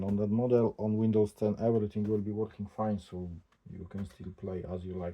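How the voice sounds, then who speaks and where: This man has a non-native accent and a fairly low pitch. He speaks at a moderate pace with fairly even intonation. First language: not English. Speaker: tech unboxing vlogger. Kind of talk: casual unboxing commentary. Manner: halting.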